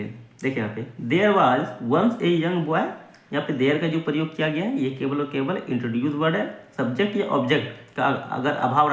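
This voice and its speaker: Lively intonation marks a man's fairly high-pitched, unremarkable speaking voice. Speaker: English teacher / language learning YouTuber. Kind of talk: English lesson, word-by-word translation and grammar explanation.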